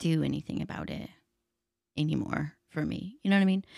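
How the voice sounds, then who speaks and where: A woman at a fairly quick pace, in dry, close sound with no echo. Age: 30s. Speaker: podcast co-host. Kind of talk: casual chat. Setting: studio.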